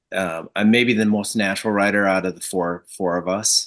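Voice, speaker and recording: Here is a man with a plain, everyday voice and an American accent. His pitch is fairly low, his pace moderate and his intonation fairly even. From Michigan, US. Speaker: marketing agency founder, community group organizer. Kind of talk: casual interview chat.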